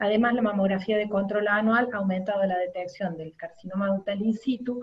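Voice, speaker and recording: A woman's medium-pitched voice in a Córdoba accent, fairly quick, with fairly even intonation. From Argentina, Córdoba. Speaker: radiologist. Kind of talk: lecture. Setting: webinar.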